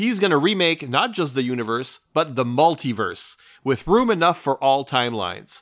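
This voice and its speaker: Using lively intonation, a man with an unremarkable speaking voice talks at a moderate pace. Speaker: podcast host. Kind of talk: casual chat.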